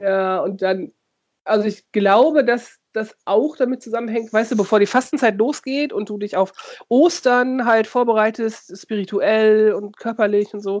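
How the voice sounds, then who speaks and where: Fairly high in pitch with ordinary pitch variation, a woman speaks at a fairly slow pace in an unremarkable speaking voice. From Lower Saxony, near Osnabrück. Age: 40s. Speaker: podcast co-host, youth worker. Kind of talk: casual chat.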